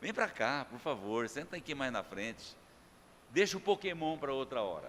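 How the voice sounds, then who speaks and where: This man has a fairly high pitch and a bright, sharp tone. His pitch swings very widely, and vocal fry comes through. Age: 60s. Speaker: pastor. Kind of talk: sermon. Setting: church. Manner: casual, joking.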